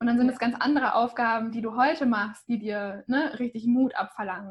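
A woman speaks at a fairly quick pace in a high voice. Her pitch rises and falls in an ordinary way. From small town in Germany. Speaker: podcast host and author. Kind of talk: interview conversation.

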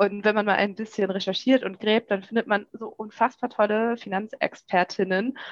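Using a normal speaking voice, a woman of medium pitch talks at a moderate pace with fairly even intonation, in a dry, close sound with no echo. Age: 30s. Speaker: journalist and podcast host. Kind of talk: podcast interview.

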